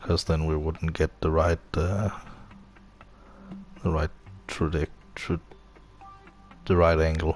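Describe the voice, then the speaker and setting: Over music in the background, a man with a non-native accent and a very deep, low pitch talks at a fairly slow pace with long, frequent pauses. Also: fairly even intonation. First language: not English. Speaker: video game streamer. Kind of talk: live gameplay commentary. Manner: hesitant, many fillers.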